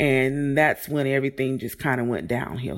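A woman's very deep, low voice in an American accent, captured in a very clean recording with a silent background. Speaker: bereaved mother, COVID survivor. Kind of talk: interview. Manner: loud.

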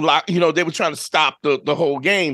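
With a New York accent, a man speaks in a bright, sharp tone and fairly even intonation. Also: quiet background. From New York, Brooklyn. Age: 50s. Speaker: podcast host. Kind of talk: casual chat.

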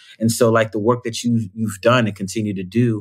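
A man speaks in an ordinary speaking voice at a medium pitch with an American accent, a moderate pace and fairly even intonation, on a very clean recording with a silent background. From New York (Bronx). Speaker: performer and storyteller. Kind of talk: casual chat.

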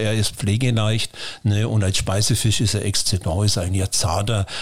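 At a moderate speed, a man talks in a somewhat breathy voice of medium pitch. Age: 60s. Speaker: fish farmer. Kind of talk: interview.

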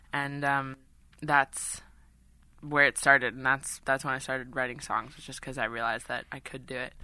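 With an American accent, a woman speaks at a moderate pace in a bright, sharp tone, with a very deep, low pitch, monotone, flat intonation and big swings in loudness. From New York City. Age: 20s. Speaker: singer-songwriter. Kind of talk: interview. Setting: studio.

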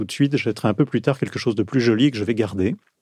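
Dry and close with no echo, this man has an ordinary speaking voice at medium pitch with ordinary pitch variation. The background is quiet. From southern France, Marseille. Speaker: journalist. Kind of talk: interview conversation. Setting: studio.

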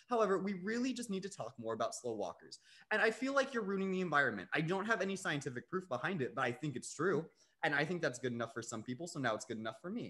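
A man talks at a very fast pace in a high, bright, sharp voice. His pitch swings very widely. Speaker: podcast co-host. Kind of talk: casual chat.

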